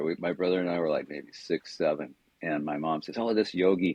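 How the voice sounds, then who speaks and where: This man has a West Coast accent. He talks at a fairly quick pace. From Southern California. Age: 70s. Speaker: wellness coach. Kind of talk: podcast interview storytelling. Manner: casual conversational.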